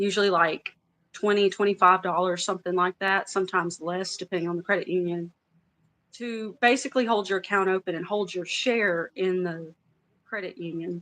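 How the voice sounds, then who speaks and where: A woman speaks with a Louisiana accent. Her intonation stays fairly even. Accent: Louisiana Southern. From US South, Louisiana. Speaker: former credit union worker. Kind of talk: casual chat. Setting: livestream.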